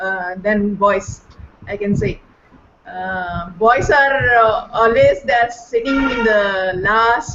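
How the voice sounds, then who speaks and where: A woman in a Kannada accent, fairly high in pitch with lively intonation, over noticeable background noise. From India, Karnataka (Bangalore). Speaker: volunteer online teacher. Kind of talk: sharing experience in online panel. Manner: halting, many fillers.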